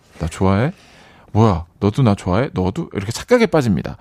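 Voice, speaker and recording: A man speaks at a fairly quick pace with very wide pitch swings. The recording is very clean with a silent background, and the sound is dry and close with no echo. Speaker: band vocalist. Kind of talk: casual radio chat. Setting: radio studio. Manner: witty, playful talker.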